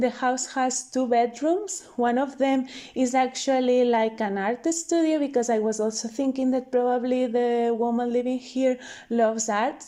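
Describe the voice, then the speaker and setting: A woman's high-pitched voice with a dark, mellow tone, fairly even intonation, very even loudness, and a moderate pace. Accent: non-native. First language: not English. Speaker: video game content creator. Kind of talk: voiceover commentary. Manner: casual, hesitant.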